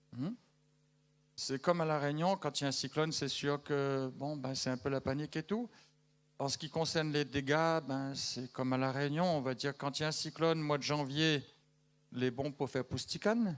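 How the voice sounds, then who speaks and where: Here a man speaks with a fairly high pitch. The recording is very clean, with a silent background. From Madagascar. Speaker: missionary giving news to a church. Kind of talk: church news update to congregation. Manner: conversational, hesitant with fillers.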